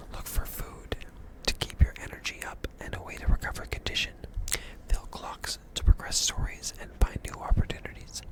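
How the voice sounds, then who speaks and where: A whispered voice moves at a moderate pace, with noticeable background noise around it. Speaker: ASMR gaming creator. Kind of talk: soft spoken ASMR gaming. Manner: soft-spoken.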